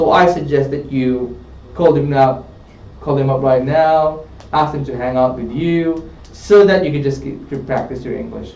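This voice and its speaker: Noticeable background noise and audible room echo surround the voice. The delivery keeps a moderate pace, and pitch variation is ordinary. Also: man. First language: not English. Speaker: English test tutor. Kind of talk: live tutoring session. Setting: studio.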